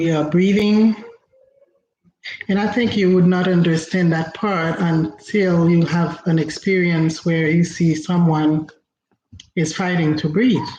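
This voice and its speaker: Speaking at a fairly slow pace with a Haitian accent, this voice leaves long, frequent pauses. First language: Haitian Creole. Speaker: inspirational speaker. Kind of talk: motivational talk. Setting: livestream.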